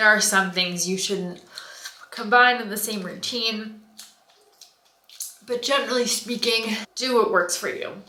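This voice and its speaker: Spoken at a moderate pace with an American accent, the voice carries audible room echo. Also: woman. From United States. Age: 30s. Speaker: skincare vlogger. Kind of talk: casual vlog talk.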